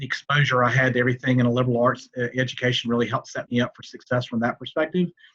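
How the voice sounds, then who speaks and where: A man with a Southern US accent speaks very fast at a medium pitch, with fairly even intonation, hardly any pauses and a dry, close sound with no echo. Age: middle-aged. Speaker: banker, alumnus. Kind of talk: panel Q&A.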